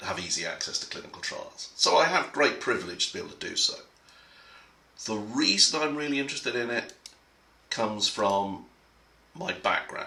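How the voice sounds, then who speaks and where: A man with an English accent at a moderate pace, with audible room echo and noticeable background noise. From England. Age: middle-aged. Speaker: conference speaker. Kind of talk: prepared talk. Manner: halting.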